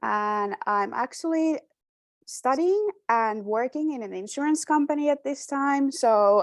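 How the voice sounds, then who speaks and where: Against a quiet background, a woman with a Finnish accent talks at a fairly slow pace with lively intonation, the sound dry and close with no echo. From Finland. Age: 20s. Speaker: former exchange student, speaker. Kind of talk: presentation. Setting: video call.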